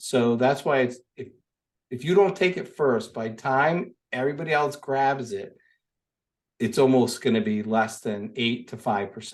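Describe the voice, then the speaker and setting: A man talks in an ordinary speaking voice. His intonation is lively and his loudness swings widely. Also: medium pitch for a man, moderate pace. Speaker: lawn care business owner and business coach. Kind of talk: interview.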